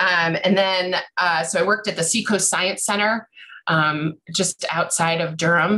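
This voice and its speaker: Against a quiet background, a woman with a bright, sharp tone and medium pitch talks at a fairly slow pace, her loudness very even and her intonation fairly even. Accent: American. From US Northeast. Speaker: bird educator and small business owner; bird educator. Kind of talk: panel introduction. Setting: video call. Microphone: video call.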